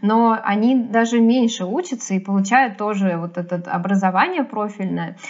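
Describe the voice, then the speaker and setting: A woman at a moderate pace with hardly any pauses and ordinary pitch variation, over noticeable background noise. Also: fairly high pitch for a woman. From Sergiev Posad, Moscow region, Russia. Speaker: animator and animation teacher. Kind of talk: casual chat.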